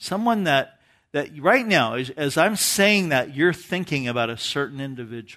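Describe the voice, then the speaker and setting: The man speaks at a fairly high pitch and a moderate pace, with lively intonation. His tone is bright and sharp, and the background is quiet. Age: 50s. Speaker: pastor. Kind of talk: sermon.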